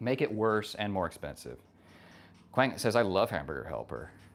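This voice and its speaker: A man with a fairly low voice and vocal fry talks at a fairly quick pace. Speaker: livestreamer. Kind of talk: casual livestream chat. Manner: soft-spoken.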